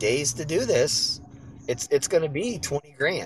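A somewhat breathy man with an American accent and ordinary pitch variation. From US West Coast. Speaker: listener participant. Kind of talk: casual chat. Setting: online audio room.

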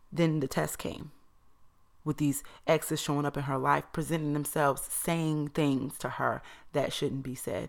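At a moderate pace, a woman speaks in an animated tone in a very clean recording with a silent background. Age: 30s. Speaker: podcast host. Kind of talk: solo monologue.

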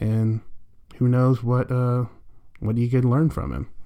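Dark and mellow, a man's voice is heard. He has an American accent. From Alabama, US South. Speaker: podcast host, video game commentator. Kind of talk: solo podcast commentary. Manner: casual, with filler words.

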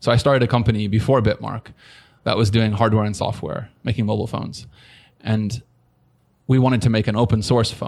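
With an American accent, a man at medium pitch talks at a fairly quick pace with fairly even intonation, leaving long, frequent pauses. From US West Coast (San Diego, California). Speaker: tech entrepreneur. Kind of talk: interview.

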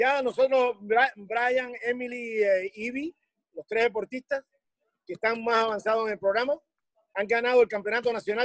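A man speaks with a Cuban accent at a fairly slow pace. His pitch is extremely high. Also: dry, close sound with no echo. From Cuba, Havana. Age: 60s. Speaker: weightlifting coach. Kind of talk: interview.

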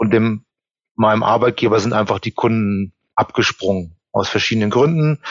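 The man has an ordinary speaking voice. He talks at a moderate pace and a medium pitch. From Germany. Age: 40s. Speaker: employment reference consultant. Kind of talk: interview. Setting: video call.

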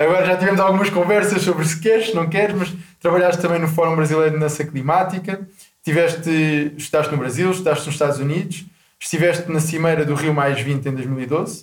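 In a room with audible echo, a man speaks at a fairly high pitch with ordinary pitch variation. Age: 20s. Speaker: podcast host. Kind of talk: interview.

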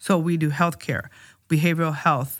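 A woman speaks with a Spanish accent at a fairly low pitch. Her pace is moderate, and the recording is very clean with a silent background. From Tijuana, Mexico. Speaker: county supervisor, politician. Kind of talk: casual interview chat. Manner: code-switches between Spanish and English.

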